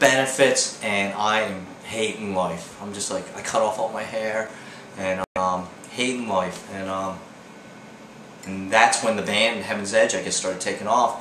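Audible room echo and light background noise surround a man with a fairly low pitch and fairly even intonation. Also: fairly slow pace. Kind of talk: interview answer. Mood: wry, reflective. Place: home room.

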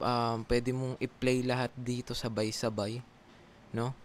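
Speaking with a slight Filipino accent at a fairly slow pace, the voice comes through over light background noise. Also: man. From Philippines. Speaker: call center agent and YouTuber; YouTuber. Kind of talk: casual vlog tutorial. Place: home room. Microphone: studio mic.

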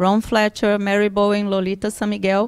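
A woman against a quiet background. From Brazil. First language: Portuguese (speaking Russian). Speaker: physiotherapist and Pilates trainer; Pilates trainer. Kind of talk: conference talk in English with interpretation. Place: hall. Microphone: podium.

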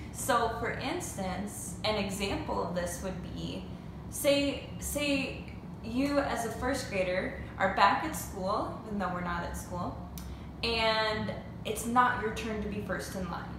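A woman at a very slow pace, with ordinary pitch variation, audible room echo and noticeable background noise. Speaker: teacher. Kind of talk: lesson for children. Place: home room. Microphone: phone near.

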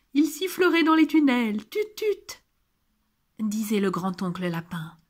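A woman's very slow, warm, gentle voice with very wide pitch swings, on a very clean recording against a silent background. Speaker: audiobook narrator. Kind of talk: scripted children's picture-book reading aloud, storytelling with gentle character lines. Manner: warm, gentle, sing-song storyteller pace; animated, changing tone for each relative's quoted lines.

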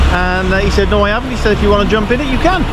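A man's voice, dry with no echo, amid loud background noise. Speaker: truck driver vlogger. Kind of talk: casual vlog chat. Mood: pleased, relaxed. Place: street. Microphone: phone near.

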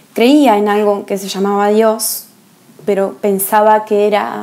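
A woman's medium-pitched voice, monotone and flat, at a fairly slow pace. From Argentina. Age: 30s. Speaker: woman giving her conversion testimony. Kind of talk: testimony. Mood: calm, earnest, reflective. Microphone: earbuds.

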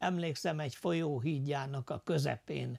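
A man speaks very slowly in a somewhat breathy voice with fairly high pitch. His pitch varies in an ordinary way, and the background is quiet. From Losonc, Upper Hungary (southern Slovakia); Upper Hungary. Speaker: war veteran, former prisoner of war; interviewee. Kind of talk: testimony interview. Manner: halting, many filler sounds. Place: home room. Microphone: lapel.

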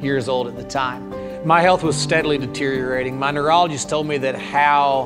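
A man talks at a fairly quick pace with ordinary pitch variation. Clear music plays in the background. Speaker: pastor telling his story. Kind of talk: interview answer. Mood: calm, reflective testimony. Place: church. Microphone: lapel.

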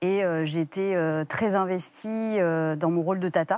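Her fairly low voice keeps a fairly even intonation as the woman speaks. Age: 30s. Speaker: guest mother sharing infertility story; guest. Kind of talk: TV interview testimony. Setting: TV studio. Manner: halting, many hesitations. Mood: calm, reflective. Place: studio. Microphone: lapel.

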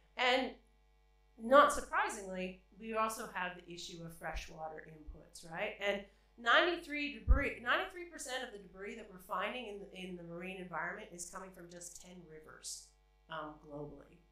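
A woman's bright, sharp voice at a medium pitch, with lively intonation, at a moderate pace, in strong room echo

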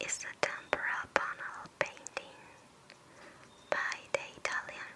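Over noticeable background noise, the speech comes as a very slow whisper. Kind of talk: ASMR art narration. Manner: whispered, soft-spoken.

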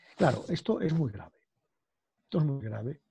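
A man with a medium pitch and a dark, mellow, somewhat breathy tone talks at a fairly quick pace over a quiet background. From Galicia, Spain. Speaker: law professor. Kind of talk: interview conversation. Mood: earnest, concerned. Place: home room. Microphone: video call.

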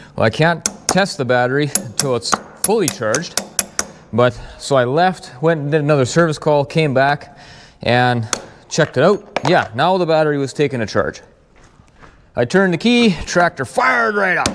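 Over light background noise, a man speaks at a moderate pace with long, frequent pauses. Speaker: tractor mechanic. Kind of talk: casual repair vlog explanation. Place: farm machine. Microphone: lapel.

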